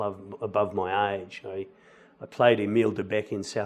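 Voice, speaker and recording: This man's voice sits fairly low in pitch and stays monotone and flat throughout. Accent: Australian. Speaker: musical theatre actor. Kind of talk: interview.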